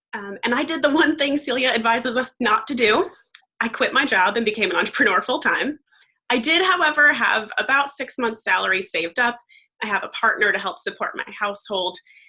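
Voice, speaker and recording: This woman has a high-pitched voice with a bright, sharp tone. She speaks in an American accent. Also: lively intonation. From US Northeast, Long Island, New York. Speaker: life coach, entrepreneur. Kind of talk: panel conversation.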